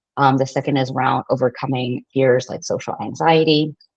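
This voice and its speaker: A woman's very deep, low voice comes through with a dry, close sound and no echo. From Canada. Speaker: marketing consultant and workshop speaker. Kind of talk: online workshop presentation. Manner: fast; many filler words.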